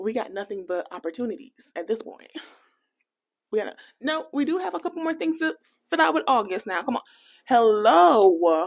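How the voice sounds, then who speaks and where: A woman's fairly high, animated voice with an American accent, very wide pitch swings and long, frequent pauses. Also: moderate pace. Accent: American, can switch into Jamaican. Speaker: personal finance vlogger. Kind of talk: casual vlog talk to camera.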